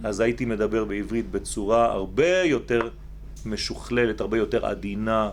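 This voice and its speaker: A man speaks at a very slow pace. Noticeable background noise and audible room echo fill the recording. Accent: Israeli. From Israel. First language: Hebrew (speaking French). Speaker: rabbi teacher. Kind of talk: religious lecture. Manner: slow, structured; halting, repeats words.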